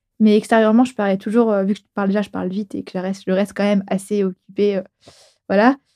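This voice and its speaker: A woman speaks at a fairly quick pace and a medium pitch, her tone dark and mellow. The sound is dry and close, with no echo. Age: 20s. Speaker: podcast guest. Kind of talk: casual chat. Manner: fast; animated.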